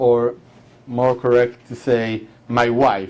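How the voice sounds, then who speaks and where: A medium-pitched man with an Israeli accent. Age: 40s. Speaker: war veteran. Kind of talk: talk. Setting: hall with audience.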